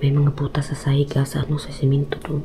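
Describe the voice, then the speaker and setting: Over noticeable background noise, a soft-spoken woman talks with a very deep, low pitch. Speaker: ghost hunting vlogger. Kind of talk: live vlog walkthrough. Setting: inside abandoned house at night. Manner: hushed, speaking softly on purpose.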